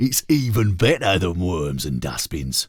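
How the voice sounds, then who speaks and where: A man puts on a gruff character voice with a very deep, low pitch. He keeps a moderate pace. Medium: read story.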